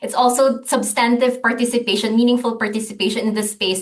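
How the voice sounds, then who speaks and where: In a Filipino accent, a woman with a high pitch speaks at a fairly quick pace in a monotone, flat intonation. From Philippines, Manila. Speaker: gender and climate programme coordinator. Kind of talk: podcast interview. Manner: halting, many fillers and restarts.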